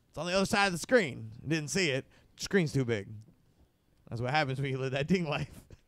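Against a quiet background with a dry sound and no echo, a man with a fairly high pitch and vocal fry speaks fairly quickly with lively intonation and long, frequent pauses. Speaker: podcast host. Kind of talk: casual banter, comedy podcast. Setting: studio. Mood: joking, laid-back, crude humor. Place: studio. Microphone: studio mic.

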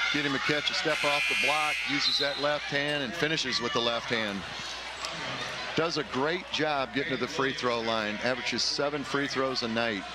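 Loud background noise surrounds this man's voice. The sound itself is dry, with no echo. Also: moderate pace. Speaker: college basketball coach working as a color analyst. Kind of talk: sports broadcast color commentary. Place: hall. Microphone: headset.

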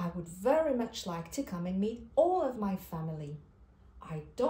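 The text is read aloud in a natural voice.

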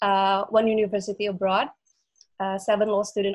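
The voice holds a monotone, flat intonation against a quiet background. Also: woman. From Indonesia. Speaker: webinar moderator. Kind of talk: moderated online interview. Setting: video call. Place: home room. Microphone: video call.

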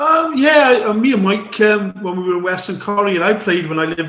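A man speaks at a fairly quick pace with ordinary pitch variation. Audible room echo surrounds his voice. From South Africa. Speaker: ex-serviceman and golfer. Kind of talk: casual chat. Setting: video call. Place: home room. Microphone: video call.

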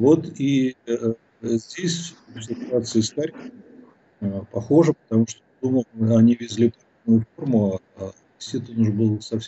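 Loudness swings widely as a man speaks at a fairly slow pace with long, frequent pauses, a somewhat breathy voice and ordinary pitch variation. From Russia. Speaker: philosopher and sociologist; guest commentator. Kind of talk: political interview. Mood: calm analytical. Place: home room. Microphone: bad connection; video call.

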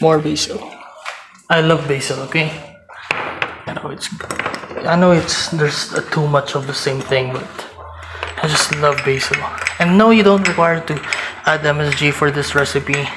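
A man speaks at a fairly slow pace with fairly even intonation and long, frequent pauses. His pitch is fairly high, and loud background noise runs underneath. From Philippines. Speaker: cooking vlogger. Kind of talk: cooking tutorial with casual chat.

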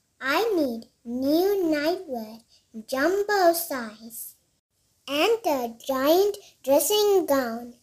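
Putting on a squeaky character voice, a woman speaks at a very slow pace with a high pitch and very wide pitch swings. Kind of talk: bedtime story. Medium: read story.

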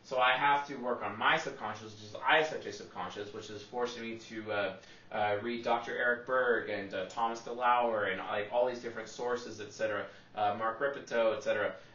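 The speech moves at a moderate pace, with big swings in loudness. Room echo is audible. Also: man. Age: 30s. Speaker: personality psychology youtuber. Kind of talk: lecture. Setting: solo video recording, one take. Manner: animated. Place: home room.

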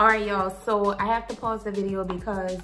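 Faint music in the background accompanies a woman as she talks. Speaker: beauty vlogger. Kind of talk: product review. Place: home room. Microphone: phone near.

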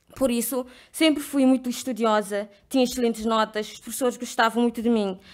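Over a quiet background, a woman speaks at a fairly high pitch with fairly even intonation. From Cape Verde. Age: 20s. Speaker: leadership program participant. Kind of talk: personal testimony speech. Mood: earnest, reflective. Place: hall. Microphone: podium.

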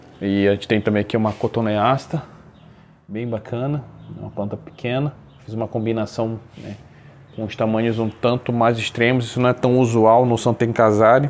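The speaker talks at a moderate pace with monotone, flat intonation. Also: man, medium pitch for a man. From Brazil, Belém do Pará. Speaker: bonsai hobbyist. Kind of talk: show-and-tell presentation. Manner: hesitant, many fillers.

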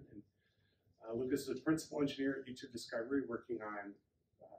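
Somewhat breathy, a man speaks at a very fast pace with fairly even intonation, audible room echo and light background noise. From Wisconsin. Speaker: workshop organizer; speaker. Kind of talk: presentation. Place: meeting room. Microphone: camera far.

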